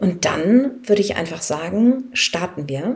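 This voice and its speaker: A woman speaks in a somewhat breathy voice. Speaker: life coach and podcast host. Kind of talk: guided meditation. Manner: reassuring and encouraging, light-hearted.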